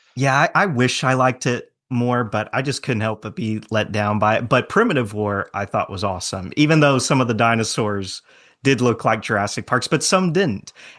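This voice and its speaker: Over a quiet background, a man with an unremarkable speaking voice talks at a moderate pace and medium pitch with lively intonation. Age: 20s. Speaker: dinosaur film enthusiast guest. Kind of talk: casual podcast chat.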